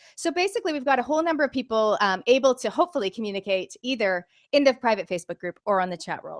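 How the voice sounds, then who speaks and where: A woman's very fast, energetic delivery with lively intonation, in an American accent, dry and close with no echo. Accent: sounds American. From Canada. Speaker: business coach. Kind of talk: webinar presentation. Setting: online video call.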